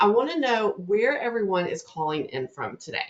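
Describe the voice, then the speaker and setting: With a Southern US accent, a woman talks at a fairly high pitch. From US South, North Louisiana. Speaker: webinar host, marketing presenter. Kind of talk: live webinar presentation. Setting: online webinar. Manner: fast; upbeat, friendly.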